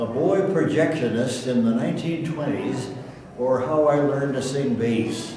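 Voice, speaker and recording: Noticeable background noise under a man's speech, its pitch varying in an ordinary way. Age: 80s+. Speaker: minister. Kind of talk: memoir reading.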